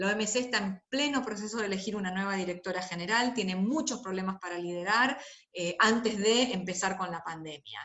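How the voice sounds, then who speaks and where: Speaking at a fairly quick pace with ordinary pitch variation, a woman uses a plain, everyday voice at a medium pitch. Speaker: lecturer on intellectual property and health. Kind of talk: lecture.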